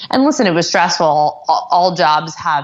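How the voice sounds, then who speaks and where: This woman has an ordinary speaking voice with an American accent. Her pitch is fairly low and her pace moderate. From US South, Atlanta. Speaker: entrepreneur, company founder. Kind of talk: interview.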